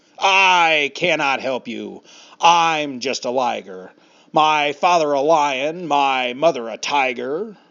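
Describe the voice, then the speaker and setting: A man puts on a character voice, pitched fairly high and delivered at a fairly slow pace. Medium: read story. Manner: lazy, sleepy.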